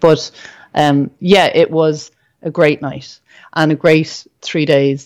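A woman speaks in an Irish accent with a very deep, low pitch. Her intonation stays monotone and flat. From Ireland. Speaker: entrepreneur and school psychologist. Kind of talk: interview. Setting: remote recording.

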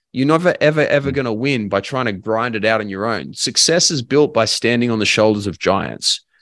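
Against a quiet background, a man speaks with an Australian accent and ordinary pitch variation. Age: 20s. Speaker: life and business coach. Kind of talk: casual chat.

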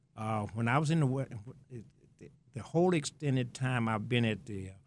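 In a Southern US accent, a man talks at a moderate pace with ordinary pitch variation. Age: 70s. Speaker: stadium greeter, retired probation officer. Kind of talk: interview chat.

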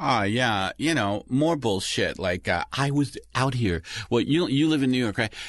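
In an unremarkable speaking voice, the speaker moves at a fairly slow pace with lively intonation and very even loudness over a quiet background. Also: man, medium pitch for a man. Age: 50s. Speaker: comedian. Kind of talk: casual chat. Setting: studio.

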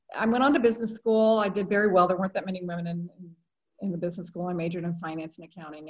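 A somewhat breathy voice talks at a very fast pace with ordinary pitch variation. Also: woman. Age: 60s. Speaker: attorney and social entrepreneur. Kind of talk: interview.

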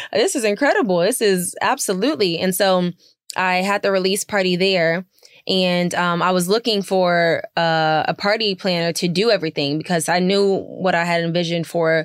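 A woman with an unremarkable speaking voice talks at a moderate pace, her loudness very even and her intonation fairly even. The recording is very clean with a silent background, and the sound is dry and close with no echo. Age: 20s. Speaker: singer, cookbook author and entrepreneur. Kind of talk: casual interview. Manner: frequent fillers, casual.

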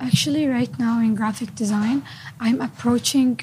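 A woman speaks at a moderate pace and a fairly high pitch, with ordinary pitch variation. Noticeable background noise runs underneath. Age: 20s. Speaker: university student. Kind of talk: interview.

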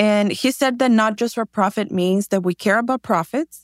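A woman with a Spanish accent speaks fairly quickly at a medium pitch with fairly even intonation. The recording is very clean, with a silent background and a dry, close sound with no echo. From Mexico, Tijuana. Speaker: shoe company founder. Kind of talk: interview.

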